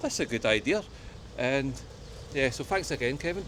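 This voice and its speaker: Speaking fairly quickly, a man with a strong West of Scotland accent uses a fairly high pitch and ordinary pitch variation. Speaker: travel vlogger. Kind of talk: casual walking vlog talk to camera. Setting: outdoors.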